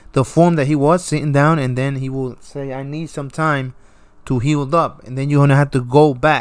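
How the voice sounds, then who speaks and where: At a moderate pace, a man with a fairly high pitch speaks on a very clean recording with a silent background. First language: not English. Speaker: gaming youtuber. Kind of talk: gameplay commentary. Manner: casual, repetitive.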